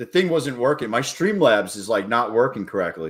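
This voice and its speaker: Moving at a moderate pace, a man talks with an American accent and very wide pitch swings. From New York. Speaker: day trader live streamer. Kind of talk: live stream chat while trading. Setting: live stream. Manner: casual, animated.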